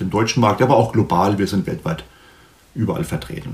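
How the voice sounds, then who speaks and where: A man speaks at a fairly low pitch and a fairly quick pace. Noticeable background noise is present. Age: 50s. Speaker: sales director. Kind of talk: interview. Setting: video call.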